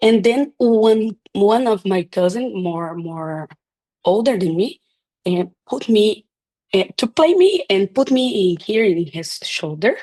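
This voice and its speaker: A woman speaks at a very slow pace in a medium pitch, with a dark, mellow tone. The sound is dry and close, with no echo. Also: lively intonation. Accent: Portuguese. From Brazil. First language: Portuguese. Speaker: chiropractor. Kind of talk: interview. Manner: halting.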